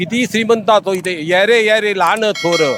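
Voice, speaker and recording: A man speaks with ordinary pitch variation. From Maharashtra, Pune area. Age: 60s. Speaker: retired government technical officer, pilgrim. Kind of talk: interview. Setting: outdoors.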